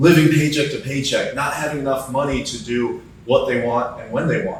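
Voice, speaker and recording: With noticeable background noise and audible room echo, a man speaks at a moderate pace and medium pitch. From US Midwest, Cleveland, Ohio. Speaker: insurance entrepreneur and mentor. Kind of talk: casual interview.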